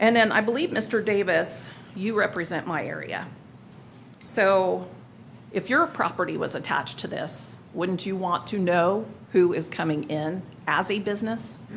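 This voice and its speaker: Amid audible room echo, a woman talks at a moderate pace and medium pitch with vocal fry and ordinary pitch variation. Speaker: resident speaking at public comment. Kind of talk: public comment at city council meeting. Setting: council chamber meeting.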